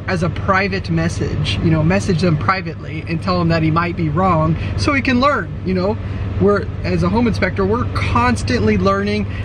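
Recorded with a dry sound and no echo, a man speaks at a moderate pace over noticeable background noise. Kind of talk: casual vlog chat. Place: car.

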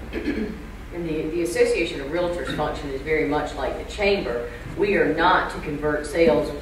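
A woman talks at a moderate pace. The room echo is audible and there is noticeable background noise. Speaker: realtor association executive. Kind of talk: panel discussion. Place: hall.

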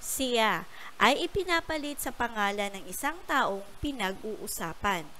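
Her bright, sharp tone sits at a fairly high pitch for a woman, with very wide pitch swings. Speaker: primary school teacher. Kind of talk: lesson for young pupils. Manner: slow and clear.

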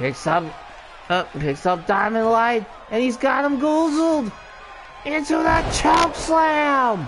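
Long, frequent pauses break up very slow speech over noticeable background noise. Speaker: wrestling commentator. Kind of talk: live commentary.

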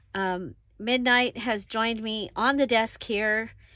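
Speaking at a very slow pace, a woman has a bright, sharp tone in a dry recording with no echo. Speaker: crafting channel host. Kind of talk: casual crafting tutorial chat. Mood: relaxed, amused.

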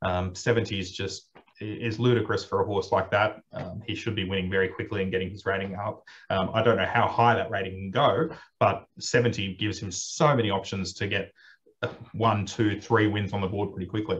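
A man with an Australian accent talks at a moderate pace in a fairly low pitch. His intonation is fairly even and his voice somewhat breathy. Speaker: racing manager and host; host. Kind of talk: casual chat. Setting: video call. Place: office. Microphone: video call.

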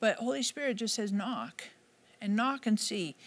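A woman speaks at a moderate pace and medium pitch. Her intonation is lively.

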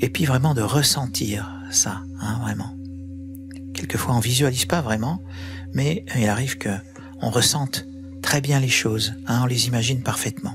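Over noticeable background noise, a man speaks at a fairly slow pace with lively intonation and long, frequent pauses. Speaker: guided meditation and sound healing guide. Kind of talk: guided yoga nidra meditation. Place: home room. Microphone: studio mic.

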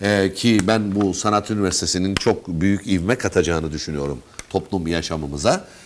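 Amid noticeable background noise, a man talks at a moderate pace with a very deep, low pitch and ordinary pitch variation. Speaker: radio host. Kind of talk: interview. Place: studio. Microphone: lapel.

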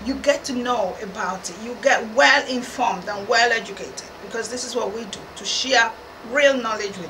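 Over noticeable background noise, a woman talks at a moderate pace with ordinary pitch variation and big swings in loudness. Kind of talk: explainer to camera. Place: studio.

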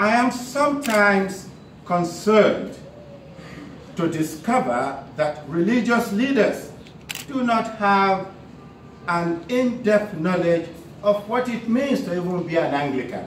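A man at a very slow pace with long, frequent pauses, audible room echo and light background noise. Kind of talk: formal speech reading. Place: hall. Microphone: podium.

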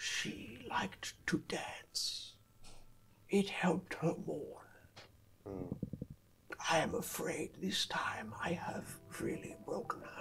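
Over music in the background, a man puts on a raspy, high-pitched character voice and speaks very slowly with long, frequent pauses. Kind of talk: game master voicing villain NPC. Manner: cold, formal, unsettling; brooding, regretful.

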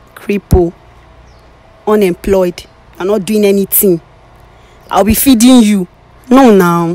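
With a Nigerian accent, a woman speaks at a fairly slow pace with long, frequent pauses and ordinary pitch variation, the sound dry with no echo. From Nigeria, southeast. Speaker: blind date participant; interviewee. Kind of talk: casual conversation. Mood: dismissive, exasperated. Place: street. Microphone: handheld.

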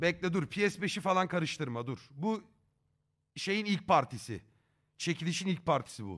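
A man's high voice at a fairly slow pace, animated in tone with lively intonation, over a quiet background. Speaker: streamer. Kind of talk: live stream chat. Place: home room. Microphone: headset.

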